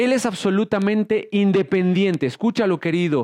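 The background is quiet, and the sound is dry and close with no echo. A man speaks at a high pitch with lively intonation. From Mexico. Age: 30s. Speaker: pastor. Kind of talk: sermon.

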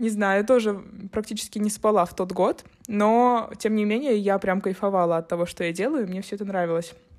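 This woman has an unremarkable speaking voice, a medium pitch, ordinary pitch variation, and a fairly quick pace. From St. Petersburg, Russia. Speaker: podcast co-host, photographer. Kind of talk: casual chat.

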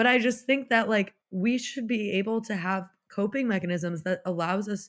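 A woman's normal speaking voice, medium in pitch, with ordinary pitch variation and a moderate pace, on a very clean recording with a silent background. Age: 20s. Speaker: NICU nurse and founder of a nurse support initiative. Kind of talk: casual chat.

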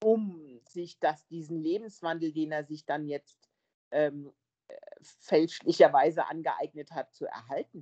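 Her pace is very slow, her pitch fairly low and her intonation fairly even, with big swings in loudness. The sound of this woman is dry and close, with no echo. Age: 50s. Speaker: film podcast guest. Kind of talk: casual chat.

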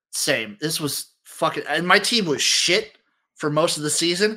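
A man with an animated, bright, sharp tone, lively intonation and a fairly slow pace. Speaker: podcast host. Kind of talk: casual banter about sports. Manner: joking, animated.

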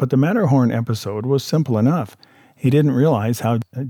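Natural reading voice, pitch moving in an ordinary way

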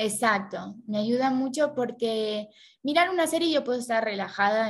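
A woman with an ordinary speaking voice uses lively intonation and a fairly high pitch, keeping to a moderate pace. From Argentina. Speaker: Chinese language learner and social media creator. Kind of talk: interview.

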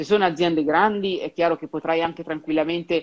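At a very fast pace, a woman speaks at a fairly low pitch with fairly even intonation. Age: 30s. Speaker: career advisor in human resources. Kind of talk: interview.

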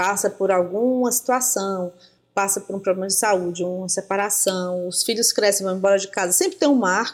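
In an unremarkable speaking voice, a woman talks at medium pitch and a moderate speed. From Brazil. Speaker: writer and creative writing teacher. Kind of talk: interview.

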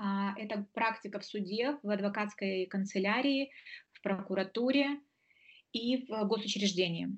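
A woman at a medium pitch and fairly slow pace, somewhat breathy, with ordinary pitch variation and big swings in loudness. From Moldova. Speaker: lawyer. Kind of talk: interview.

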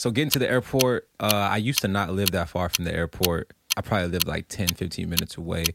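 A man speaks in an unremarkable speaking voice. The sound is dry and close with no echo, on a very clean recording with a silent background. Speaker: podcast host. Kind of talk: casual banter with profanity. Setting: studio, drinking wine.

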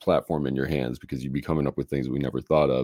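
A man talks with an American accent and a dark, mellow tone. Vocal fry runs through his voice. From US Midwest, Chicago. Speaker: musician and software founder. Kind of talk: interview. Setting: live-streamed video interview.

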